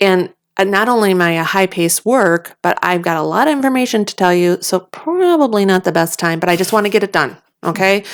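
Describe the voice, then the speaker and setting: A woman at a medium pitch, with ordinary pitch variation and a fairly quick pace. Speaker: podcast co-host. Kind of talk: casual chat. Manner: fast.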